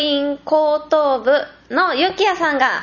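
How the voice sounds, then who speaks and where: Against noticeable background noise, a woman with a high pitch talks at a very slow pace with fairly even intonation. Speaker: podcast host. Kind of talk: casual chat.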